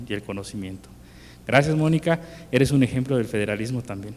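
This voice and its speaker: A man with a Yucatán accent speaks at a medium pitch. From Mexico, Yucatán. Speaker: industry chamber president. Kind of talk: formal thanks speech.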